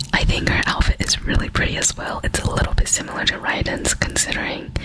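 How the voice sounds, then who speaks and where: Over noticeable background noise, a woman whispers at a fairly quick pace. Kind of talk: ASMR talk to camera showing collectible cards. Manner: whispered.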